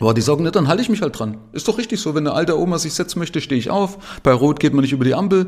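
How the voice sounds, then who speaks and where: Very fast and full of vocal fry, a man speaks. His intonation is lively. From Saxony, eastern Germany (Zwickau). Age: 50s. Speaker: podcast host and investor. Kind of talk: solo monologue podcast. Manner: casual, with frequent fillers.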